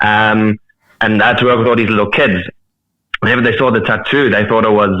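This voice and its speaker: With a South African accent, a man speaks in a fairly low voice at very even loudness. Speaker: metal musician. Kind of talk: casual chat. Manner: halting.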